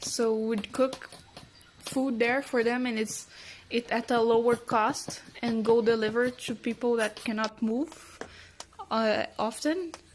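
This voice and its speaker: At a fairly slow pace, a woman talks with a fairly high pitch. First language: Portuguese and Spanish. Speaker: cook. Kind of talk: self-introduction.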